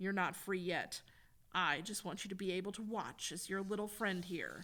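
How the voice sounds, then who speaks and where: This put-on character voice is gravelly and sits at a middle pitch. It moves at a moderate pace with fairly even intonation. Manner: menacing, gloating.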